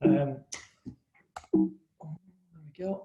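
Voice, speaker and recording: A man speaks with an English accent at a moderate pace. His tone is dark and mellow. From England. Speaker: company co-founder. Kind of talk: webinar presentation. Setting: live webinar.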